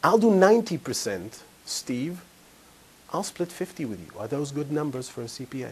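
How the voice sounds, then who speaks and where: Speaking at a moderate pace with an Israeli accent, a man uses a somewhat breathy, fairly high voice whose pitch swings very widely and whose loudness shifts greatly. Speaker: financial advisor / seminar speaker. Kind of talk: live seminar talk with anecdote.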